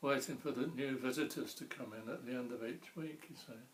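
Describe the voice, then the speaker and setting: The speaker has a southern English accent and fairly even intonation. The pace is moderate. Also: man. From Ramsgate, Kent, England. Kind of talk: oral history interview answer.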